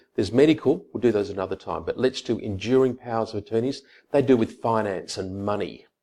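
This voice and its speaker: An Australian accent from a man of medium pitch, dark and mellow in tone, with ordinary pitch variation. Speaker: lawyer. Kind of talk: tutorial. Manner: casual, conversational.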